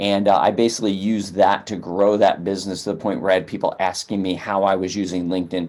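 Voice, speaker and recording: The intonation is monotone and flat. The pace is fairly quick. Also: man. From upstate New York. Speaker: sales trainer. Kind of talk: webinar presentation. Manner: fast.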